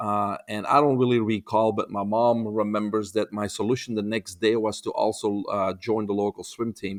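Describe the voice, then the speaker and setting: A man with a Belgian accent is heard in a dry, close sound with no echo. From Belgium. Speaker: holistic health expert. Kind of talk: podcast interview. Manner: hesitant, with frequent uh fillers.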